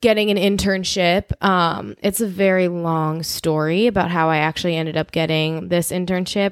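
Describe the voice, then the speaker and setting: A woman with an American accent and a plain, everyday voice, fairly low in pitch, fairly even in intonation, dry and close with no echo, on a very clean recording with a silent background. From Chicago suburbs. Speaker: podcast co-host. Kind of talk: casual chat.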